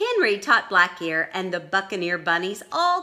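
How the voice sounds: What comes through is a natural reading voice.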